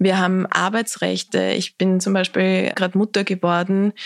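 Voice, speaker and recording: A woman in an Austrian accent, monotone and flat, with a dry, close sound and no echo. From Austria, southern Lower Austria (Lilienfeld). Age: young. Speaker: political activist, campaign founder. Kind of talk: interview conversation.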